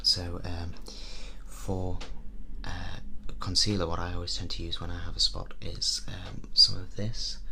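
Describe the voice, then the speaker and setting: A man whispers. He is soft-spoken. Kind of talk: ASMR role play. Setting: windy outdoors. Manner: soft-spoken, whispered.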